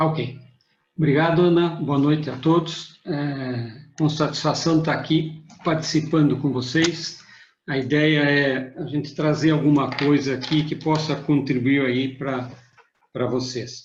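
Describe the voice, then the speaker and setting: In a room with audible echo, a man speaks slowly and monotonously at a fairly high pitch, sounding somewhat breathy. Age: 60s. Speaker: management consultant, retired engineer. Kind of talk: webinar presentation.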